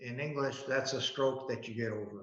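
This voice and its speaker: Someone with an American accent talks at a moderate pace amid audible room echo. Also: man. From Buffalo, New York, US. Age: 80s+. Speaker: business founder. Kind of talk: talk to students.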